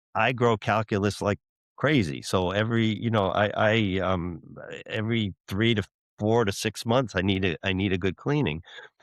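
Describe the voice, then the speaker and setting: A man talks at a moderate pace in a fairly low pitch. His loudness stays very even, with ordinary pitch variation. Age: 60s. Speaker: dentist and dental school professor. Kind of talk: interview. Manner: halting, repeats words.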